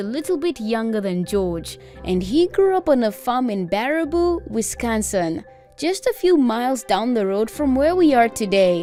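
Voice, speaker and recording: A woman speaks in a high voice with very wide pitch swings. Music plays in the background. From South Africa. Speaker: voice actor. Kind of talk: educational narration.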